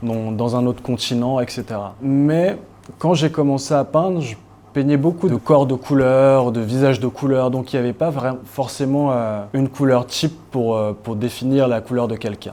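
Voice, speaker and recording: A man's medium-pitched voice, dark and mellow in tone, at a moderate pace with ordinary pitch variation. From Cameroon. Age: 30s. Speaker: painter. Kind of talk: interview answer.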